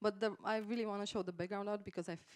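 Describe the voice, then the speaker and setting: A woman talks at a very fast pace with a Romanian accent. Her intonation is monotone and flat. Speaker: game artist. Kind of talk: conference talk. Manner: halting, many fillers.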